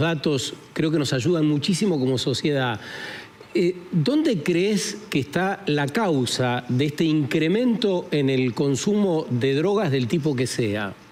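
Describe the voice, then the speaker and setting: Over noticeable background noise, a man with a fairly high pitch talks at a very slow pace, his intonation lively. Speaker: radio host. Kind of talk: casual chat.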